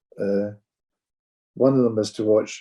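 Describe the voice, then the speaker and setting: In a Glaswegian accent, a man speaks with a dark, mellow tone and a dry, close sound with no echo. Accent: Glaswegian Scottish. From Scotland, Glasgow. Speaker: pipe band judge. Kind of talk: casual chat.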